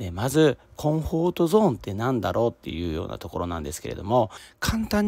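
The pitch of this man's voice swings very widely. The sound is dry, with no echo. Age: 40s. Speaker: podcaster, office worker; podcaster. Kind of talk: solo self-help talk. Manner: casual, many fillers. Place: open country.

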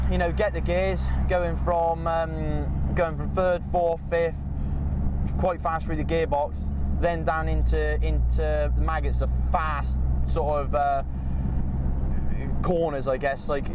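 Speaking at a very slow pace with long, frequent pauses, a man is heard in a dry sound with no echo over loud background noise. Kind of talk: commentary. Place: car.

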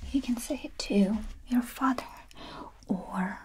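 Soft-spoken and gentle in tone, a woman talks at a very slow pace in a high voice with ordinary pitch variation over light background noise. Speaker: language teacher. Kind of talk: tutorial. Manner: soft, gentle ASMR speaking voice. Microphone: camera far.

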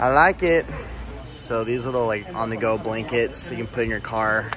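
Noticeable background noise sits under a man's voice in a dry sound with no echo. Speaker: lifestyle vlogger. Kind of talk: casual shopping vlog chat. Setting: in a store. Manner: casual and chatty. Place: shop. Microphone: phone near.

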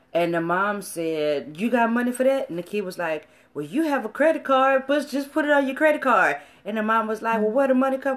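Pitch swings very widely while the talking runs at a fairly quick pace. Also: woman, fairly high pitch for a woman. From US South, Louisiana and Beaumont, Texas; Louisiana. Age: 30s. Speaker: marriage and family video co-host; family video co-host. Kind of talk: casual chat. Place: home room. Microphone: phone near.

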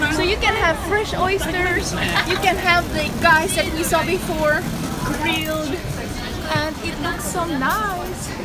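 A woman's very slow speech with crowd noise in the background. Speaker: travel vlogger. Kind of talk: casual vlog chat. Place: market. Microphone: phone near.

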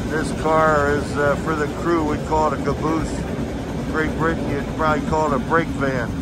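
The sound is dry with no echo, and loud background noise runs underneath. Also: moderate pace. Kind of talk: travel narration. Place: train. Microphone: phone near.

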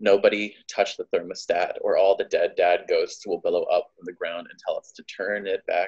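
Over a quiet background, a man talks at a moderate pace with hardly any pauses. His loudness swings widely. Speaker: poet. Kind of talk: spoken word poetry performance, imaginative, emotional, rhythmic. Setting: live poetry reading. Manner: animated, rhythmic, cadenced; heartfelt, wry, building emotionally. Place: home room. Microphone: phone near.

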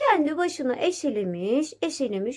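A woman talks at a fairly slow pace. Her voice is high with lively intonation.

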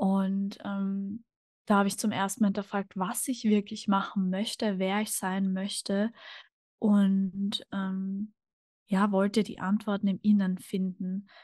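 A woman's somewhat breathy, monotone voice at a very slow pace, with flat intonation and a dry sound with no echo. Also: quiet background. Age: 20s. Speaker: podcast guest. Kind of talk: casual interview conversation. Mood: calm, reflective. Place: home room. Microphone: studio mic.

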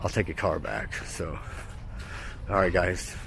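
Recorded with a dry sound and no echo, a man talks at a moderate pace over noticeable background noise. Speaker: vlogger. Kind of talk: casual vlog chat. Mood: relaxed, upbeat. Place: street. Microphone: phone near.

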